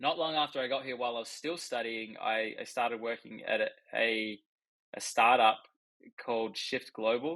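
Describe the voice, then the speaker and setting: A man's bright, sharp voice with an Australian accent and fairly even intonation. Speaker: accountant. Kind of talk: casual chat.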